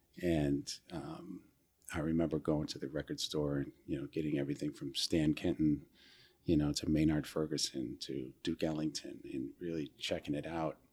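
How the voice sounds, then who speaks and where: In an American accent, a man with a very deep, low pitch talks at a moderate pace with vocal fry and monotone, flat intonation. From central New York. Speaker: jazz producer and musician. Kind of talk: interview conversation. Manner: halting, many fillers.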